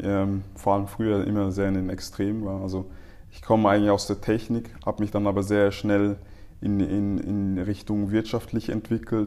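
In a fairly low voice with monotone, flat intonation, a man speaks at a moderate pace. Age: 30s. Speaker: marketing specialist. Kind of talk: casual interview.

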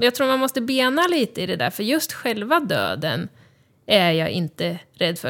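Moderate-paced speech from a woman, very cleanly recorded against a silent background. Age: 30s. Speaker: cancer patient and podcaster. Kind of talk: casual interview. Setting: studio.

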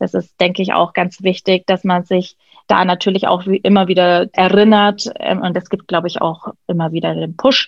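A woman with medium pitch talks at a moderate pace in a monotone, flat intonation. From Germany, Nuremberg (Franconia). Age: 30s. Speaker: hairdresser and style coach. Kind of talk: interview.

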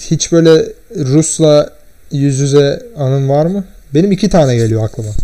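An ordinary speaking voice from a man, fairly high in pitch, with lively intonation at a fairly slow pace. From Turkey. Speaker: podcast guest. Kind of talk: casual chat. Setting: at home, in his room.

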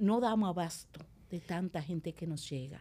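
A woman speaks at a fairly slow pace with ordinary pitch variation, in a plain, everyday voice. The recording is very clean, with a silent background. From Dominican Republic, La Vega countryside. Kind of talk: interview conversation.

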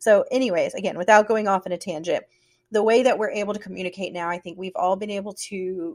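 With a Southern US accent, a woman speaks at a fairly quick pace. Her pitch sits in the medium range. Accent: Southern American. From US South. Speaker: podcast host. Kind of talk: casual chat.

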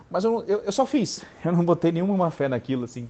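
A man talking at a fairly quick pace, his pitch swinging very widely. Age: 30s. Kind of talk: motivational voice message. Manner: animated; halting.

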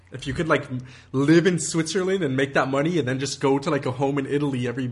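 A man with a fairly high pitch talks at a very fast pace, his somewhat breathy voice holding a fairly even intonation. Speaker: podcast host. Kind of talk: casual chat.

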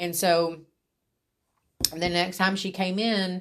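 In a quiet background, a woman speaks at a medium pitch in a flat monotone. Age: 40s. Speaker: podcaster, mother. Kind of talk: personal monologue. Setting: at her workplace.

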